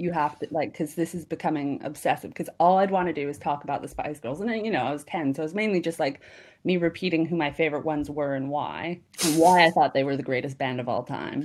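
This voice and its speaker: A woman with a Canadian accent, very deep and low in pitch, at a very fast pace, on a very clean recording with a silent background. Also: ordinary pitch variation. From Canada, Kamloops, British Columbia. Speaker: comedian. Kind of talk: casual chat.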